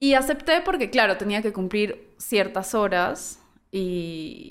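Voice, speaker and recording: A woman with a normal speaking voice, lively intonation and a fairly slow pace. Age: 30s. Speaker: audiovisual communicator and former lecturer. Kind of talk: casual chat.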